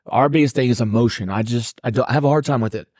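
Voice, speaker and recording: In a very clean recording with a silent background, a man with an unremarkable speaking voice speaks at a medium pitch with fairly even intonation. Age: 30s. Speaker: podcast co-host, army veteran. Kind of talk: casual chat.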